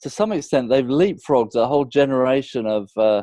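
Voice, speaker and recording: A man with a British accent, fairly high in pitch, with a dark, mellow tone and a fairly quick pace, in a dry, close sound with no echo. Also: quiet background. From UK. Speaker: business consultant. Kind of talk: interview.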